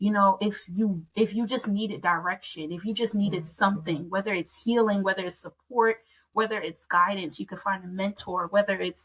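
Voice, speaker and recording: A woman's unremarkable speaking voice with an American accent, medium in pitch, at a moderate pace with fairly even intonation and hardly any pauses. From Philadelphia, US. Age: young. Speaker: co-founder of a community initiative. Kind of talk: interview.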